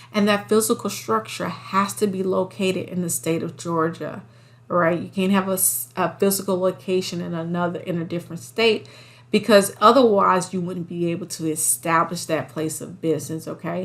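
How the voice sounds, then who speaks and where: At a moderate pace, a woman speaks with a fairly low pitch. Vocal fry runs through her voice. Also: ordinary pitch variation. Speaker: trucking bookkeeping instructor. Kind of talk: tutorial. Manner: animated, encouraging.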